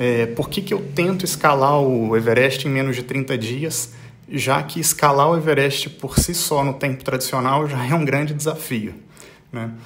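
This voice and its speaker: A man with a fairly high pitch and ordinary pitch variation speaks at a moderate pace, with audible room echo. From Brazil. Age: 40s. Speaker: mountaineer and business executive. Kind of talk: recorded voice message. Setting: pre-recorded audio message.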